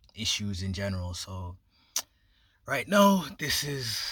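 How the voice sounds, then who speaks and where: In an American accent, the voice comes through on a very clean recording with a silent background. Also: man. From Jamaica and New York. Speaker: YouTuber. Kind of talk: casual commentary vlog.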